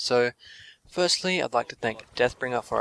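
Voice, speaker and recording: Here a man with an Australian accent speaks at medium pitch. His pace is fairly quick, and the sound is dry and close with no echo. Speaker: gaming commentator. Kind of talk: gameplay commentary.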